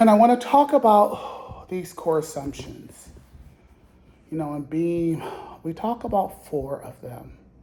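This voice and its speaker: This man talks at a fairly slow pace in a high pitch with a dark, mellow tone and very wide pitch swings. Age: 60s. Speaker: support group facilitator. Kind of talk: group facilitation with personal testimony. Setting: in-person group circle.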